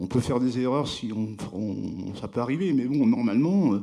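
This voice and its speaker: At a moderate pace, a man of medium pitch speaks in a dark, mellow tone. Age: 60s. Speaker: award-winning craftsman. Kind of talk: award ceremony interview. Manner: halting.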